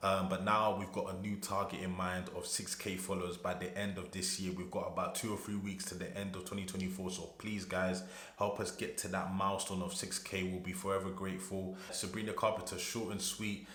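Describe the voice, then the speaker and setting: Delivery is fairly quick with hardly any pauses and monotone, flat intonation. Audible room echo and noticeable background noise surround it. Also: man, very deep, low pitch for a man. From UK. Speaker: music reaction youtuber. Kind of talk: casual reaction video.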